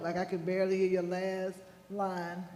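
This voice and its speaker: A loud man with a high pitch and a dark, mellow tone speaks with monotone, flat intonation, with audible room echo. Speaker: school board member. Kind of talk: board meeting discussion. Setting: board meeting room with microphones.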